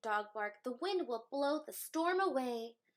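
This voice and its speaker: Someone talks at a middling speed. The voice is a put-on character. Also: woman, high pitch for a woman. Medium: read story. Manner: confident, explaining.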